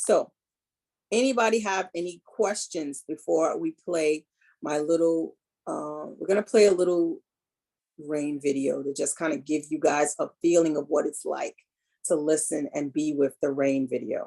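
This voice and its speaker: Heard dry and close with no echo, a woman with an American accent speaks at a fairly slow pace in a very deep, low pitch, with ordinary pitch variation. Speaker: holistic health and reiki practitioner. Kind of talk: wellness talk. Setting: video call. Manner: soothing, calm.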